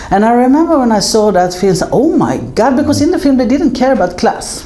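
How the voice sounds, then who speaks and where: With noticeable background noise behind her, a woman speaks at a very fast pace in a high voice, her pitch swinging very widely while her loudness stays very even. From Sweden. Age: 60s. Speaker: film producer. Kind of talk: interview conversation.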